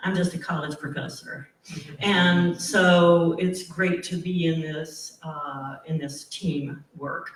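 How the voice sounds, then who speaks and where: Loud and very slow, a man speaks at high pitch. His intonation is fairly even. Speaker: college professor and singer. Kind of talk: panel discussion.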